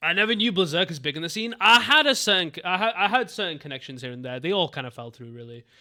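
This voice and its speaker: In a very clean recording with a silent background, a man with a Mancunian accent speaks in a bright, sharp, animated tone. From Manchester, England. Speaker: streamer. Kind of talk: casual live stream chat.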